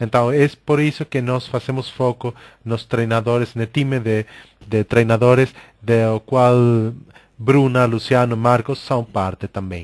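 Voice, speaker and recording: The speaker has a Spanish accent and talks at a fairly slow pace with fairly even intonation. The sound is dry and close, with no echo. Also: man. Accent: Spanish-accented Portuguese (portunhol). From Argentina. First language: Spanish (speaking Portuguese). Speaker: coaching organization director, webinar host. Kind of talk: webinar presentation. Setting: online webinar. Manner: hesitant, many filler sounds.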